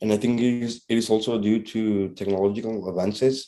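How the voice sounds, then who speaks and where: A man's fairly low, dark, mellow voice in a Spanish accent, at a moderate pace with fairly even intonation. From Honduras. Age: 20s. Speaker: interviewee. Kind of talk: class assignment interview. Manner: halting.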